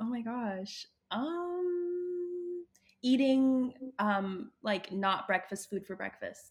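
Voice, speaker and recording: A woman with a Canadian accent speaks at a high pitch. Her pace is very slow, and her pitch swings very widely. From Ottawa, Canada. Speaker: actress and activist. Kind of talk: interview.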